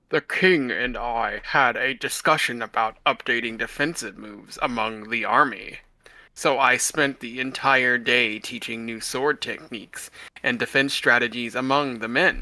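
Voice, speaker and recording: A man speaks in a put-on character voice at a medium pitch, his loudness swinging widely, on a very clean recording with a silent background. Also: moderate pace. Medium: read story. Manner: earnest, affectionate.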